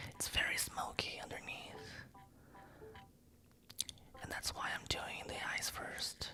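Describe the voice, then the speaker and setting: A woman whispers in a calm tone at a very slow pace, leaving long, frequent pauses. Music plays in the background. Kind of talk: ASMR makeup tutorial, soft-spoken. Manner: soft-spoken, calm.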